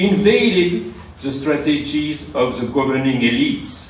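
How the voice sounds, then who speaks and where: With audible room echo and noticeable background noise, a man talks fairly slowly at a fairly high pitch with ordinary pitch variation. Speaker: academic conference speaker. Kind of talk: conference lecture. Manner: hesitant, many fillers.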